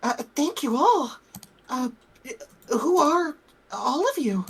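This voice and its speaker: Someone uses a put-on character voice, high-pitched and at a fairly slow pace. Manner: hesitant, bewildered.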